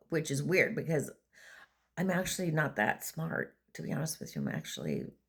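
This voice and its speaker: This woman's voice is very deep and low, with vocal fry, on a very clean recording with a silent background. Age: 60s. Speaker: vlogger and former prison treatment provider. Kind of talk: casual monologue. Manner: halting.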